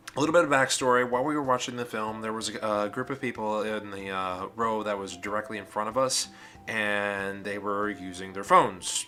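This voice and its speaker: A man at a fairly quick pace, with ordinary pitch variation and music in the background. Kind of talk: casual talk to camera. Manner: rambling.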